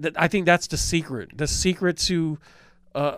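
A man's ordinary speaking voice, fairly high in pitch, with fairly even intonation at a moderate pace. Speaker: podcast co-host, former radio host. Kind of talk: casual chat.

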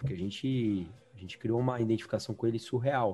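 At a very fast pace, a man speaks in a somewhat breathy voice with a dark, mellow tone. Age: 30s. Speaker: podcast host. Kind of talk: casual chat. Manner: animated.

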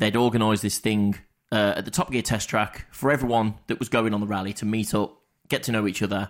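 Very clean recording, silent background, of a man with an English accent. He speaks fairly quickly at a fairly low pitch. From England. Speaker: podcast co-host. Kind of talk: casual chat.

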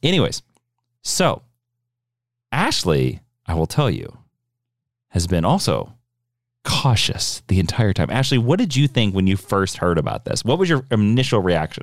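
In a playful tone with vocal fry, a man pitched fairly low swings very widely in pitch while keeping very even loudness, speaking at a moderate pace with long, frequent pauses in a very clean recording with a silent background. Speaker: podcast co-host. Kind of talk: comedic educational podcast chat. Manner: joking, playful.

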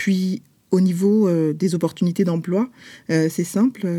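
A woman speaks fairly slowly with a fairly low pitch, a dark, mellow tone and fairly even intonation. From France, Paris. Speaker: publisher and author. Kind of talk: interview. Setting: remote recording. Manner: halting, with frequent hesitations.

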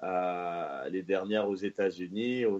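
A man does the talking. His voice has a dark, mellow tone. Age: 30s. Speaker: football pundit. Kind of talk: casual chat. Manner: halting.

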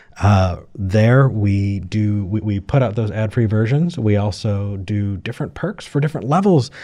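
A man speaks at a fairly low pitch with a dark, mellow tone. His delivery has ordinary pitch variation and hardly any pauses. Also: moderate pace. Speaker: call-in show co-host. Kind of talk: casual chat.

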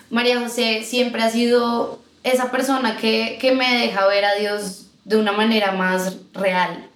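Through audible room echo, a woman speaks at a very slow pace with hardly any pauses, very even loudness, a fairly high pitch and fairly even intonation. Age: 20s. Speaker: singer, guest sharing her faith story. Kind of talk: casual chat, personal testimony. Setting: recorded in person with hosts.

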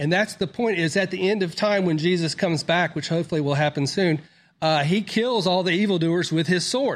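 A man with a Southern US accent talks at a fairly quick pace and a high pitch. His pitch varies in an ordinary way, and his loudness stays very even. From US South, Mississippi. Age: 50s. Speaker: doctor. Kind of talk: interview. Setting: studio.

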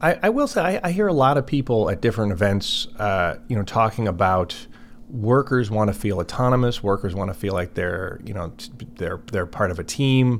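With a Chicago accent, a man speaks in a fairly low pitch with lively intonation. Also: moderate pace. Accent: Chicago-area American. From US Midwest, Chicago area. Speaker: podcast host. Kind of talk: interview.

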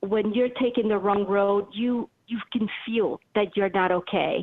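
Her medium-pitched voice moves very slowly, and the woman keeps her intonation fairly even. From Venezuela, raised in France and the USA. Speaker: author and intuitive consultant. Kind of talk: interview. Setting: live radio show. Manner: halting, many fillers.

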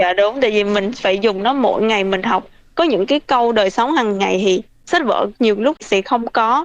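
A woman with an unremarkable speaking voice talks at a fairly high pitch, her loudness very even and her pitch varying in an ordinary way. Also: moderate pace. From Vietnam (Bình Thuận). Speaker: vocational student. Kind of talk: interview.

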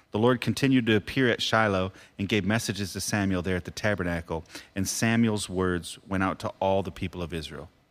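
An ordinary speaking voice from a man with an American accent, fairly low in pitch, fairly quick, with ordinary pitch variation, on a very clean recording with a silent background. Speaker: podcast host and pastor. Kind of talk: casual devotional chat about Bible. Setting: studio.

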